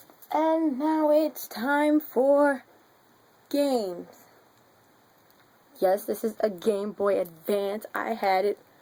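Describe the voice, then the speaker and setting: Pausing long and often, a woman speaks at a very slow pace in a high pitch with a dark, mellow tone. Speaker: vlogger. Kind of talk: casual vlog. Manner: loud; animated.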